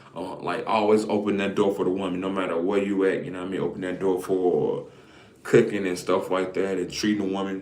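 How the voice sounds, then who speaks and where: There is audible room echo and noticeable background noise as a man talks at a fairly quick pace in a fairly low pitch. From Alabama, Greene County. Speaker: content creator. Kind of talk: casual live stream monologue. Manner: casual, halting with repetitions.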